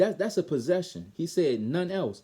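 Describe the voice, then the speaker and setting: A man with a Baltimore accent speaks at a high pitch in a dark, mellow tone, with very wide pitch swings. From Baltimore, Maryland. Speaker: bible teacher. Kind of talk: bible lesson. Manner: halting, self-correcting.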